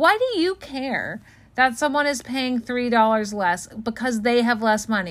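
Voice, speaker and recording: Speaking at a fairly slow pace, a woman has a plain, everyday voice with a fairly high pitch and ordinary pitch variation. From Los Angeles. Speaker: podcast co-host. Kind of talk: casual chat.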